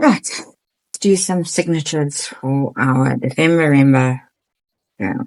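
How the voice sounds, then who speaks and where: Quietly and at a fairly slow pace, a woman with a very deep, low pitch speaks with ordinary pitch variation and long, frequent pauses. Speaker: craft journaling vlogger. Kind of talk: casual craft tutorial. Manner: quiet, low-key.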